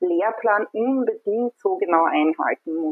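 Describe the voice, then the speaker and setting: This is a normal speaking voice. Its pitch variation is ordinary. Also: woman. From Austria, Burgenland. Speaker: communication designer, parent. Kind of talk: casual chat. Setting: online call from home.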